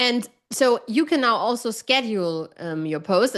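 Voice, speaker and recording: A woman with a German accent. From Germany. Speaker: online writing coach. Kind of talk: casual chat. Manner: direct.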